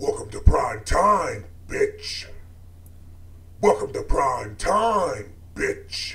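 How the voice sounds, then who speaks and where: A put-on character voice moves at a very slow pace with long, frequent pauses over light background noise. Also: man. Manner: menacing, taunting.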